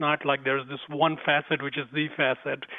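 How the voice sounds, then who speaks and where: With a slight Indian accent, a man talks at a moderate pace. His pitch is fairly high. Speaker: spiritual teacher and author. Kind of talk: interview.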